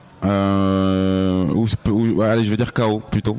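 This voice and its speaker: This is a man speaking. His pitch is fairly low. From France. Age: 30s. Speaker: rapper. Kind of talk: casual interview. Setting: backstage at a release party.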